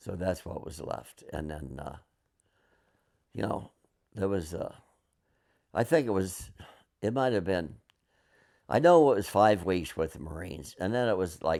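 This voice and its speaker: A man with a very deep, low pitch and a dark, mellow tone speaks with vocal fry and lively intonation. He leaves long, frequent pauses, and the recording is very clean with a silent background. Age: 70s. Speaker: Vietnam War veteran. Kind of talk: oral history interview. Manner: halting, with many fillers and restarts.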